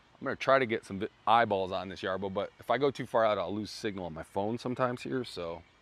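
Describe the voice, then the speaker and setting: A man talking very fast with hardly any pauses, fairly low-pitched, on a very clean recording with a silent background. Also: ordinary pitch variation. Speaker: product demo livestream host. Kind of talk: live product demonstration. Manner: not shouting, low volume; casual, conversational.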